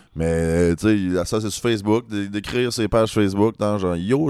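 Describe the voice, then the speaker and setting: Recorded very cleanly against a silent background, a man with a normal speaking voice talks at a moderate pace, his fairly low pitch varying in an ordinary way. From Rouyn-Noranda, Quebec. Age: 30s. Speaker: singer-songwriter. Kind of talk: casual chat. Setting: apartment.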